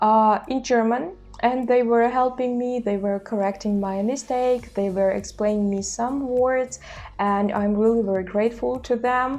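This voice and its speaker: A woman with a Russian accent, her fairly high voice kept to fairly even intonation. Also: moderate pace. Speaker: language-learning YouTuber. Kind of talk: casual vlog talk. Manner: hesitant with filler sounds.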